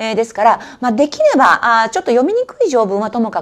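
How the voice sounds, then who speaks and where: Her pitch fairly high and swinging very widely, a woman talks at a fairly quick pace. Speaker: exam prep instructor. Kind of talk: study advice talk. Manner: many filler words. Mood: earnest, mildly strict advice. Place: office.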